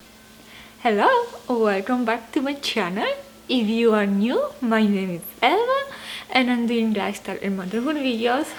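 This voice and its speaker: A woman with a Polish accent talks at a fairly slow pace. The room echo is audible, and there is noticeable background noise. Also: fairly high pitch for a woman, ordinary pitch variation. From Poland. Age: 30s. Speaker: lifestyle and motherhood vlogger. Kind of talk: casual Q&A vlog.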